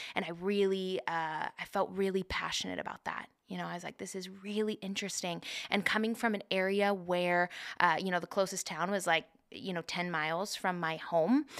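A woman with an American accent and an unremarkable speaking voice talks at a moderate pace with fairly even intonation in a very clean recording with a silent background. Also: medium pitch for a woman. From rural Oregon (Polk County). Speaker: suicide prevention coordinator, podcast co-host. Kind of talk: casual chat.

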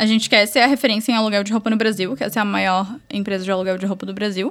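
A woman talks with a bright, sharp tone. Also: very clean recording, silent background. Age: 20s. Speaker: entrepreneur. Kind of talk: casual chat.

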